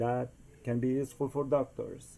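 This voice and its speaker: A man speaks at a fairly slow pace, his medium-pitched voice carrying a dark, mellow tone. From Costa Rica. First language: Spanish. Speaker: DIY inventor. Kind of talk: tutorial. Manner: hesitant, many fillers.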